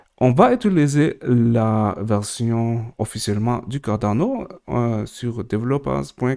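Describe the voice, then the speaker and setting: A man with a non-native accent speaks at a very slow pace in a medium pitch. His tone is dark and mellow, and the recording is very clean with a silent background. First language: not French, more at ease in English (speaking French). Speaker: crypto tutorial creator. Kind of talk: tutorial. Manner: halting, many hesitations.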